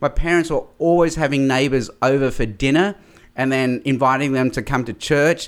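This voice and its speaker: In a very clean recording with a silent background, a man with an Australian accent speaks at a moderate pace and fairly high pitch with ordinary pitch variation. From Australia, mainly Sydney. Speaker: evangelist and public speaker. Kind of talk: interview.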